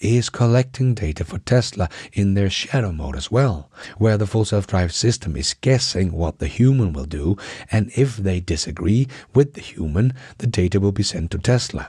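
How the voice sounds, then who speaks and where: A man with a Danish accent, fairly low-pitched, at a moderate pace, dark and mellow in tone, somewhat breathy, with lively intonation, on a very clean recording with a silent background. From Denmark, Aarhus. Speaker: tech news YouTuber. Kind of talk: news commentary. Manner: enthusiastic.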